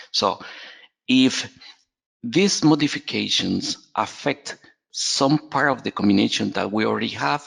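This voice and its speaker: The man talks at a fairly slow pace, leaving long, frequent pauses. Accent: Spanish. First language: Spanish. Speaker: software trainer. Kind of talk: webinar tutorial. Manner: halting, many fillers and repetitions.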